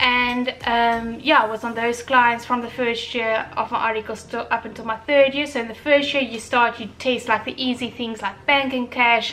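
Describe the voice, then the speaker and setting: A woman with a high pitch and a bright, sharp tone speaks with an Afrikaans accent. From South Africa, Durban. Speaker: vlogger, chartered accountant. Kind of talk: casual vlog talk. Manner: unscripted, filler-heavy.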